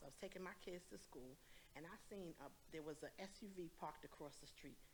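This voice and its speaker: Here a woman talks with a fairly low pitch. Her pace is fairly quick. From Brooklyn, New York. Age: 60s. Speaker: audience member asking a question. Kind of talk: Q&A question from audience. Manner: animated.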